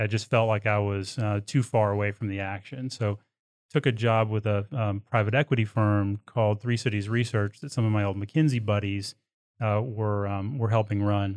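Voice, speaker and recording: A man with an American accent has a normal speaking voice at fairly low pitch. He speaks at a moderate pace with fairly even intonation, in a dry, close sound with no echo and a quiet background. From Texas. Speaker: oilfield services executive. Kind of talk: interview. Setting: studio.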